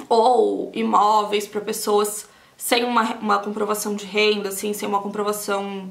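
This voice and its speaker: Speaking slowly-ish at a fairly slow pace, a woman with a Brazilian accent uses a fairly high pitch over noticeable background noise. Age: 30s. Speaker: beauty vlogger, aesthetician. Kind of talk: casual talk to camera while doing makeup.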